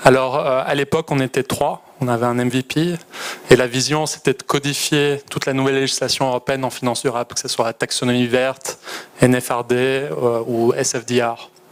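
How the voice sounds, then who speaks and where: With a Belgian accent, a man speaks at medium pitch and a moderate pace in monotone, flat intonation over noticeable background noise. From Belgium. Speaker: startup founder. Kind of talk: startup pitch.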